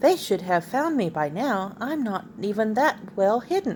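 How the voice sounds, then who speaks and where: A woman uses a put-on character voice at medium pitch. She speaks at a moderate pace over clear background noise. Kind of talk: bedtime story. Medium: read story. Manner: eager, earnest.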